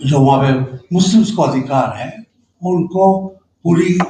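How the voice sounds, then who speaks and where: This man has a high pitch and a dark, mellow tone. His pitch varies in an ordinary way. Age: 70s. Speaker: political commentator. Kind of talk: panel discussion.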